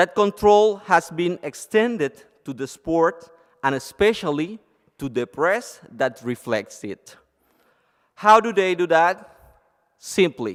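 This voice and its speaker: A man in a Cuban accent speaks with high pitch and lively intonation at a very slow pace, leaving long, frequent pauses. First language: Spanish. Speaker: lawyer and blogger. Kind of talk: conference presentation. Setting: conference stage with audience.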